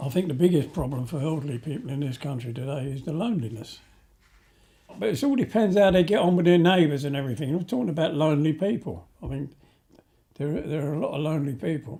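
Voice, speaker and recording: A man speaks very fast with lively intonation and a fairly high pitch. His tone is dark and mellow, and somewhat breathy. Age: 70s. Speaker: interviewee in documentary. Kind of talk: interview.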